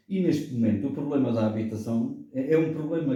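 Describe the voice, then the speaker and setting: Somewhat breathy and dark, mellow in tone, a man's fairly high voice moves with ordinary pitch variation amid audible room echo. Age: 70s. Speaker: political commentator. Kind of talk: radio debate.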